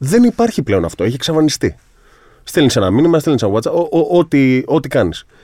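A man with a dark, mellow tone and a fairly high pitch talks at a moderate pace with very wide pitch swings. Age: 30s. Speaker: sports psychologist. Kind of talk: casual interview chat.

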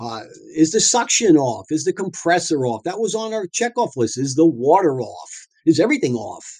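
In a New York accent, a man talks with a fairly high pitch and very wide pitch swings. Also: moderate pace. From Long Island, New York. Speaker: dentist and practice owner. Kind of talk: interview storytelling. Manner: animated.

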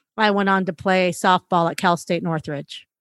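A woman at a fairly slow pace with fairly even intonation, in a dry, close sound with no echo on a very clean recording with a silent background. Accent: Californian. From California, Los Angeles area. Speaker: former athlete and coach, violence prevention advocate. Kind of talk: interview.

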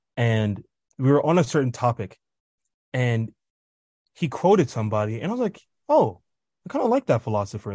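This man talks at a fairly quick clip with an American accent, his voice somewhat breathy and his pitch swinging very widely. The sound is dry and close with no echo, over a quiet background. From Kansas City, US Midwest. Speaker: college student. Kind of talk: interview.

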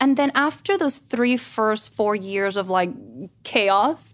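In a Spanish accent, a woman speaks at a very slow pace. Her pitch is high. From Guatemala. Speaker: stay-at-home mom and actress. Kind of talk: casual chat. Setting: studio.

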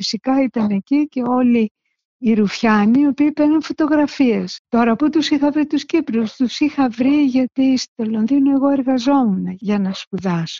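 At a high pitch, a woman speaks at a fairly slow pace with hardly any pauses. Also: ordinary pitch variation. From Greece, Salamina. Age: 70s. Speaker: visual artist. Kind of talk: interview recollection.

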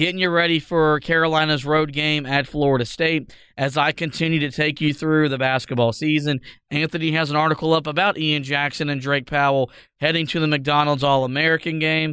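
At a fairly quick pace, a man talks in a fairly high pitch, with monotone, flat intonation and very even loudness. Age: 20s. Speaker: sports podcast host. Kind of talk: casual sports discussion.

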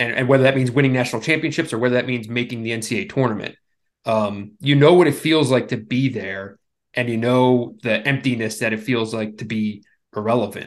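A man with an American accent speaks at a moderate pace and a medium pitch, with ordinary pitch variation. It is an unremarkable speaking voice over a quiet background. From Philadelphia, US Northeast. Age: 40s. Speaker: sportswriter. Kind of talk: casual interview.

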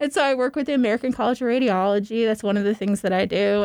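In a very clean recording with a silent background, a woman with an unremarkable speaking voice talks in a fairly high pitch with ordinary pitch variation. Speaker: cancer patient advocate and speaker. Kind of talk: storytelling. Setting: studio.

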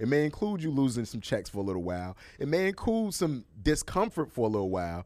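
A man's medium-pitched voice with an American accent, very fast, with very wide pitch swings. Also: very clean recording, silent background. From Chicago, US Midwest. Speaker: entertainment journalist and TV host. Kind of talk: casual chat.

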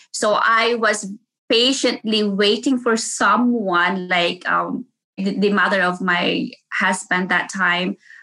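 With a Filipino accent, a woman talks very slowly in a bright, sharp tone, her loudness very even throughout. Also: medium pitch for a woman, fairly even intonation. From Philippines (Davao City). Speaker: nurse. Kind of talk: interview. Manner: halting.

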